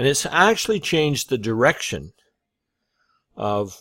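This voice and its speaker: A man with an American accent at a fairly slow pace, on a very clean recording with a silent background. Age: 60s. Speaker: online business coach. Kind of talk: casual vlog monologue. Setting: talking to camera. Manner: halting, many fillers.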